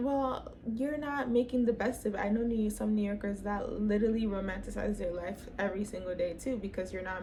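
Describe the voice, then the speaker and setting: With a Toronto accent, a woman talks in an animated tone at medium pitch and a moderate pace, with ordinary pitch variation, noticeable background noise and audible room echo. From Canada, Toronto. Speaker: lifestyle vlogger. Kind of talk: casual vlog talk.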